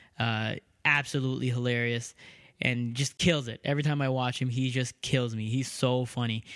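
A man at a medium pitch, monotone and flat in intonation, at a moderate pace, on a very clean recording with a silent background. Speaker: podcast host and comedian. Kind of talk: casual chat. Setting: home room.

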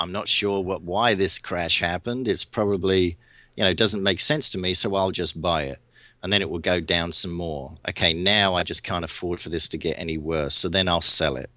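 A man's very deep, low voice with a bright, sharp tone, at a moderate pace, on a very clean recording with a silent background. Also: ordinary pitch variation. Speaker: trader. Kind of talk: interview.

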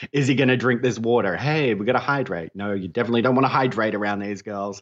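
Against a quiet background, a man with an Australian accent talks at a medium pitch with ordinary pitch variation. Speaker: podcaster, guest co-host. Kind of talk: casual chat.

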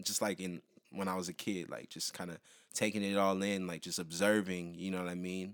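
A man with an American accent talks at a fairly quick pace in a very deep, low pitch with monotone, flat intonation, in a very clean recording with a silent background. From Southern California (Pasadena). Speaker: musician. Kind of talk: casual chat.

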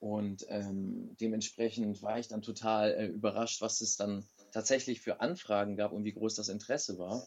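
In an unremarkable speaking voice, a man talks at a moderate pace with fairly low pitch and fairly even intonation. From Germany. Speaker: professional wrestler. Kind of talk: interview.

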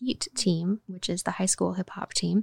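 A woman speaks at a moderate pace with a medium pitch and fairly even intonation, with an American accent. It is a normal speaking voice, recorded dry and close with no echo. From Oklahoma. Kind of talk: interview.

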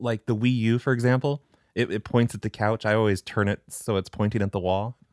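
Dry, close sound with no echo from a man with fairly even intonation. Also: very clean recording, silent background. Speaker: prank caller and show creator. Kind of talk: casual interview. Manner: natural, own voice without put-on characters.

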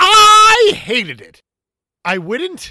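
An extremely high, put-on character voice, raised and projected.

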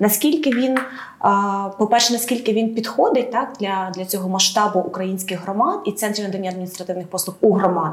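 A woman speaks at a fairly quick pace and a medium pitch, her pitch varying in an ordinary way over noticeable background noise. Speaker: podcast co-host. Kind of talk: moderated podcast discussion. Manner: hesitant, some filler sounds.

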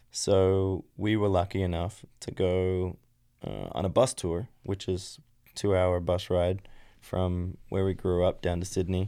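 A dark, mellow tone in an Australian accent, fairly slow and monotone with flat intonation, on a very clean recording with a silent background. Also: man, very deep, low pitch for a man. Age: 30s. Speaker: former racer. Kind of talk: casual chat.

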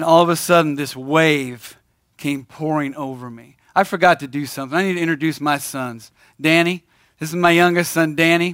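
Fairly high for a man, an unremarkable speaking voice moves at a fairly quick pace with fairly even intonation and big swings in loudness, on a very clean recording with a silent background. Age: 50s. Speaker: church operations manager and speaker. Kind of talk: testimony talk. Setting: stage with audience at men's breakfast.

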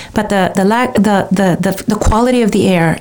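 Fairly even intonation is heard over noticeable background noise. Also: woman. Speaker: radio host. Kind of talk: interview.

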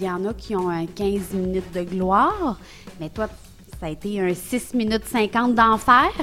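With music playing in the background, a woman at a medium pitch speaks at a fairly slow pace with a Quebec accent and ordinary pitch variation. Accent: Québécois French. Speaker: improv comedian. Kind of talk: improvised comedy game. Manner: animated.

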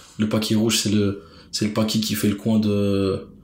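Amid audible room echo, a man speaks with monotone, flat intonation. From Brussels, Belgium. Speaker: street food enthusiast and artist manager. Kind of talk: casual interview.

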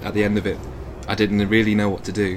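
A man with an English accent talks at a very fast pace in a fairly low voice. Noticeable background noise and audible room echo fill the recording. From England (Evesham, Worcestershire). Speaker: animator. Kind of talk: casual chat. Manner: halting.

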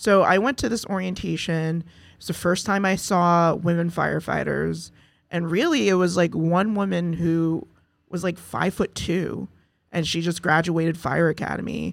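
A woman with an American accent and a normal speaking voice, fairly low pitch, fairly even intonation and moderate pace, on a very clean recording with a silent background. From US Northeast, Mount Vernon, New York. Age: 40s. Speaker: firefighter and community organizer. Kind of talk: casual interview chat. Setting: studio.

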